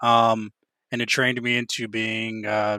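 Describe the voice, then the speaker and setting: The sound is dry and close with no echo as a man speaks at a medium pitch and a fairly slow pace. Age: 30s. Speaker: cybersecurity engineer and Air Force reservist who stutters. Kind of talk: podcast interview. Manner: halting, frequent fillers and repetitions.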